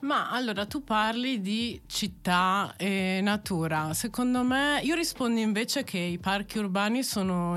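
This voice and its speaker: In a normal speaking voice, a woman talks at a fairly slow pace. Her pitch variation is ordinary. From Italy, Verona. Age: 30s. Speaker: landscape architect and PhD researcher. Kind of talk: interview.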